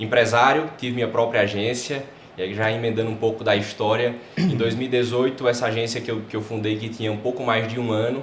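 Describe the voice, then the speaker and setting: A man with a northeastern Brazilian accent speaks at a fairly quick pace and medium pitch in a monotone, flat intonation. Noticeable background noise and audible room echo are present. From Brazil, Paraíba (João Pessoa). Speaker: advertising and personal branding specialist. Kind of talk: podcast interview.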